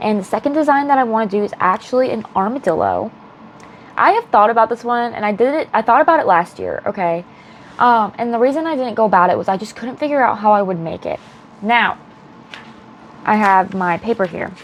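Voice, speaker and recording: A woman with a fairly high voice talks at a fairly quick pace with lively intonation. Background noise is noticeable. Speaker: crochet vlogger. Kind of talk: casual vlog. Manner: animated.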